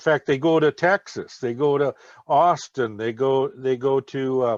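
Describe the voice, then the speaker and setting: A man's medium-pitched voice in an Upper Midwest accent, at a very slow pace with ordinary pitch variation and a dry, close sound with no echo. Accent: Upper Midwest American. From Minnesota. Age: 70s. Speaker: retired veteran and author. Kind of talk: podcast interview. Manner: hesitant, many fillers.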